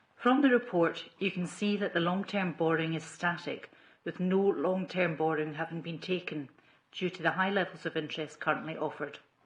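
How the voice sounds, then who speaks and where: Speaking with a Scottish accent, a woman moves at a fairly quick pace in a fairly low pitch. Her voice is somewhat breathy, with ordinary pitch variation. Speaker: council accountant. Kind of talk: formal report presentation. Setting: council committee meeting.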